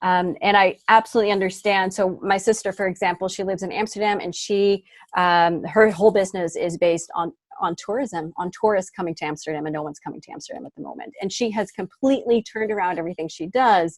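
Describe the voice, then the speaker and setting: Talking at a very fast pace in an American accent, a woman uses a medium pitch with ordinary pitch variation and big swings in loudness. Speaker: smartphone video trainer. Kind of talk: interview.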